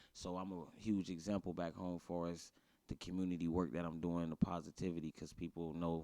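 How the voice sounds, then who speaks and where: At a fairly quick pace, a man speaks with a very deep, low pitch and a dark, mellow tone. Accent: American. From US Midwest, Youngstown, Ohio (South Side). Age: 30s. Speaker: rapper and entrepreneur. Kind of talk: casual interview. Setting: live show at a venue.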